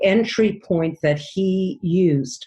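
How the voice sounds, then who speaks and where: A somewhat breathy woman with a dark, mellow tone speaks at a fairly low pitch with ordinary pitch variation. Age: 60s. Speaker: dream analyst. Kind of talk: interview. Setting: podcast.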